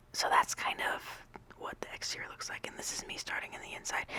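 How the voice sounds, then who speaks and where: Noticeable background noise under a whisper. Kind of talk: casual voice-over ramble about a game build. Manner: whispered, rambling.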